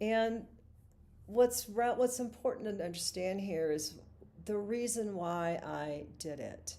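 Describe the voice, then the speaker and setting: Speaking at a very slow pace, a woman of medium pitch shows ordinary pitch variation over noticeable background noise. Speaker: singer-songwriter and vlogger. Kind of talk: live stream monologue.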